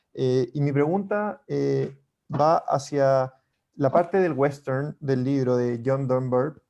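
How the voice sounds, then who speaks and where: A man's fairly high pitch with a dark, mellow tone, ordinary pitch variation, a very slow pace, and a Chilean accent. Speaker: book club member. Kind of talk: book club discussion.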